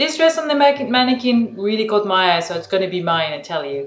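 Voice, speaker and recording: Over noticeable background noise, a woman talks at a fairly quick pace with very wide pitch swings. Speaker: artist and vlogger. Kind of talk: travel vlog. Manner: soft-spoken.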